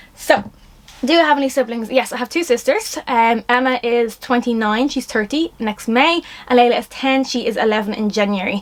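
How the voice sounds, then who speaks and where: A woman speaks in a Dublin accent at a high pitch. Her tone is animated, with ordinary pitch variation. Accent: Dublin Irish. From Ireland, Dublin. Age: 20s. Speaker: influencer / vlogger. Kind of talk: casual vlog Q&A. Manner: fast; animated, rambling.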